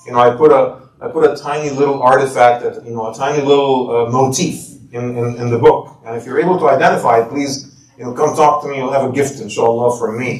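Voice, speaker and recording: With audible room echo and noticeable background noise, a man at a medium pitch talks at a fairly quick pace with hardly any pauses and big swings in loudness. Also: fairly even intonation. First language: not English. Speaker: imam and author. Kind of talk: book talk.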